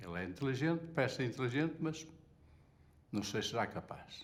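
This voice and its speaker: A man with vocal fry speaks at a fairly slow pace, his pitch swinging very widely. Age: 70s. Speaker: retired textile factory worker. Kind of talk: testimony.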